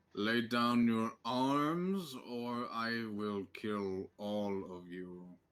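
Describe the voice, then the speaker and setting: A man uses a put-on character voice at medium pitch, very slow yet with hardly any pauses. The recording is very clean, with a silent background. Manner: threatening.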